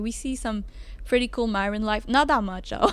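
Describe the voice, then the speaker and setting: A woman's voice with a Quebec accent, fairly high pitch and ordinary pitch variation. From Quebec, Montreal. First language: French. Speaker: student. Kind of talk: casual chat. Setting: restaurant on a ship.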